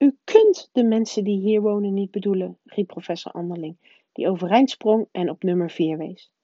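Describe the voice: The background stays quiet. Someone does plain reading aloud, with ordinary pitch variation.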